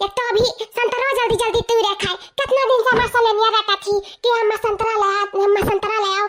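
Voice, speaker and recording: Putting on a cartoonish character voice, a woman speaks at an extremely high pitch in a flat monotone at a fairly quick pace. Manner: fast, chattering.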